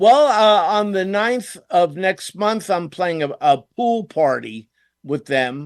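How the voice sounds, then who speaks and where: A very slow man with a high voice and very wide pitch swings is heard on a very clean recording with a silent background. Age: 70s. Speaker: rock musician, keyboardist. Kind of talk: radio interview.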